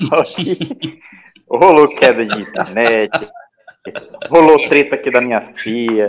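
At a fairly slow pace, a man speaks in an ordinary speaking voice with a fairly high pitch and ordinary pitch variation. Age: 30s. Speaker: pop culture website contributor. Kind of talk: casual chat. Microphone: bad connection.

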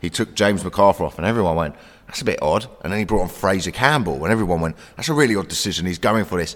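A man with a South London accent speaks at a very fast pace in a very deep, low pitch with lively intonation. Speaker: comedian. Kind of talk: casual chat.

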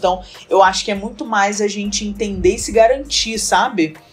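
Music plays in the background as a woman speaks. Her pitch is medium and her pace moderate. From Rio de Janeiro, Brazil. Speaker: presentation design entrepreneur. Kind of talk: casual interview chat.

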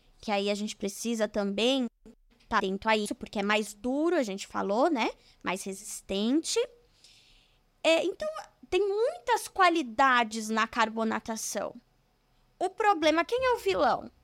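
Over a silent background in a very clean recording, a woman with a fairly high pitch speaks fairly slowly with long, frequent pauses and very wide pitch swings, the sound dry and close with no echo. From São Bernardo do Campo, São Paulo, Brazil. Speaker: civil engineer. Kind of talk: casual interview. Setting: studio.

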